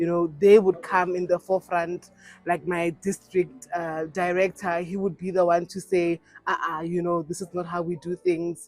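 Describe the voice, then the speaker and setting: At a moderate pace, the speech carries on with music in the background. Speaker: pastor. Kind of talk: interview.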